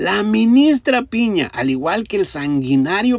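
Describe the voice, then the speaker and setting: With a Mexican accent, a man talks at a fairly slow pace in a high pitch, his animated tone swinging very widely in pitch. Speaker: political commentator. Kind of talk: angry political rant, sarcastic and mocking. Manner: insulting, scornful, repetitive.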